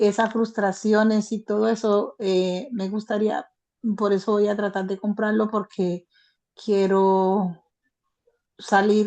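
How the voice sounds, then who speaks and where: A woman speaks very slowly at a medium pitch, her tone dark and mellow. Her intonation is flat and monotone against a quiet background. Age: 60s. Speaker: participant in online training session. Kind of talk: casual chat. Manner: halting.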